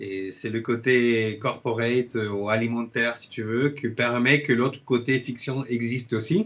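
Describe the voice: A man speaks at a medium pitch with a Chilean accent. His intonation stays fairly even, his tone is fairly bright, and he talks at a fairly slow pace.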